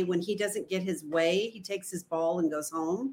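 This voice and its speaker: A woman speaks in a plain, everyday voice at a medium pitch. Her pace is moderate and her pitch varies in an ordinary way. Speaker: estranged parent guest. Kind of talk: casual conversation in a live stream. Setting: video call.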